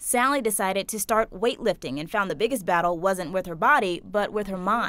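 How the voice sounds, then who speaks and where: A woman's plain, everyday voice at medium pitch, with ordinary pitch variation, a fairly quick pace and hardly any pauses. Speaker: news reporter. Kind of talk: TV news feature narration.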